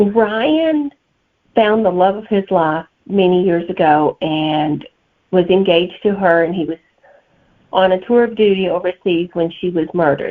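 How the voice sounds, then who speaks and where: This voice carries a strong Southern US accent and moves at a fairly slow pace. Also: woman, medium pitch for a woman, ordinary pitch variation. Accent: thick Southern US. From Alabama, US South. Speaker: novelist. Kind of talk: interview answers.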